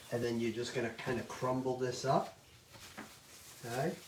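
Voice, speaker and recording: A man speaks at a medium pitch. There is noticeable background noise. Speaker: chef teaching a cooking class. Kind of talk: cooking tutorial. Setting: virtual class from home. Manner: loud.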